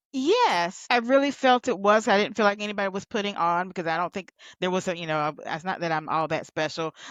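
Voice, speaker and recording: A woman with a Southern US accent, lively intonation and a fairly quick pace, against a quiet background. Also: medium pitch for a woman. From US South. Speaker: healthcare recruitment consultant. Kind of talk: podcast interview. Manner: conversational.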